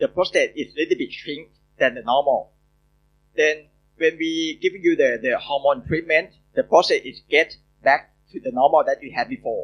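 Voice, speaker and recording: A man speaks with a Thai accent at a moderate pace. His loudness swings widely. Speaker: urologist. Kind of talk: Q&A answers. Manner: halting.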